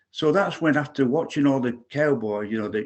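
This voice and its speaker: A man talks with an English accent. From England, Manchester area. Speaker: singer-songwriter. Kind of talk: casual chat.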